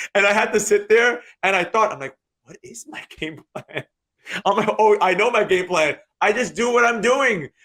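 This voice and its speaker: In a New York accent, a man speaks at a high pitch with a bright, sharp tone, and the sound is dry and close with no echo. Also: ordinary pitch variation, moderate pace, big swings in loudness. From New York, Queens. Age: 30s. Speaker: day trader and trading teacher. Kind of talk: interview.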